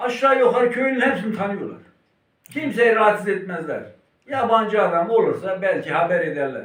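Lively intonation colors this man's high-pitched voice. He keeps a moderate pace. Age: 70s. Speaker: livestock herder and Kangal breeder. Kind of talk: interview answer.

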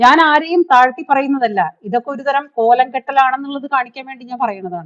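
Her tone animated, a woman speaks with a high pitch and ordinary pitch variation. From Kerala, Thrissur. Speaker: YouTuber. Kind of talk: live stream commentary. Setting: live stream.

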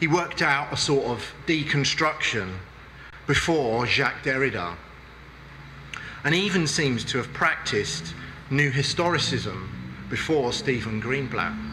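Over faint background noise, a man with a bright, sharp tone and medium pitch speaks at a fairly slow pace with lively intonation.

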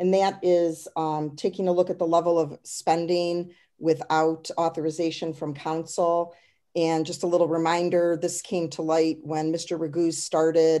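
Over a quiet background, a woman with an American accent speaks at a fairly low pitch, her tone dark and mellow and her intonation monotone and flat. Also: fairly slow pace. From US Midwest. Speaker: city council member. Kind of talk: council meeting. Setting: video call. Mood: calm, businesslike. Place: home room. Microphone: webcam.

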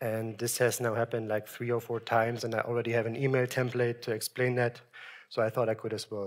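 With monotone, flat intonation, a man talks at a very fast pace. The background is quiet. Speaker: software engineer giving a conference talk; conference presenter. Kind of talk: technical presentation. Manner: hesitant, many ums. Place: hall.

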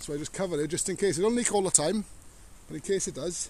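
A man speaks in a high pitch with ordinary pitch variation. The sound is dry, with no echo. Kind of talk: casual vlog chat. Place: open country. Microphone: phone near.

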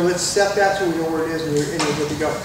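A man speaking with audible room echo, noticeable background noise behind him. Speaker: presenter. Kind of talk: tutorial. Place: shop. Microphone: camera far.

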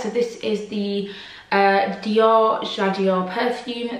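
Audible room echo surrounds a woman whose fairly high voice keeps a fairly even intonation. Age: 20s. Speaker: lifestyle YouTuber. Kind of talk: casual Q&A vlog. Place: home room.

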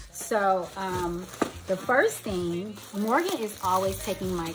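A woman's voice with ordinary pitch variation and light background noise. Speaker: beauty vlogger. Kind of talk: casual unboxing vlog chat. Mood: cheerful, chatty. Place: home room.

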